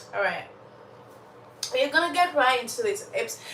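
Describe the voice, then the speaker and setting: A woman's raised, projected voice with an animated tone and very wide pitch swings, over noticeable background noise and audible room echo. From Uganda. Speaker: storyteller livestream host. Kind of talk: casual live chat. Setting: livestream.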